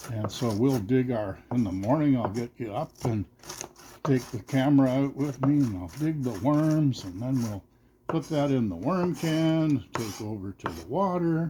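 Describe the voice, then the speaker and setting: Speaking at a fairly slow pace, a man uses an ordinary speaking voice at medium pitch with lively intonation. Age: 60s. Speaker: cooking channel host. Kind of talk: casual cooking vlog chat.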